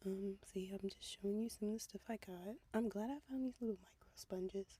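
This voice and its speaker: The delivery moves fairly quickly. The voice is soft-spoken. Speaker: doll repaint crafter. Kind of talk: voiceover tutorial. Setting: in a car. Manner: casual with many fillers.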